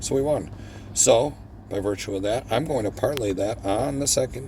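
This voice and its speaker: A man talks at a medium pitch and moderate pace, his intonation lively. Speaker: gambling video host. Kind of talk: live gameplay commentary. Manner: animated.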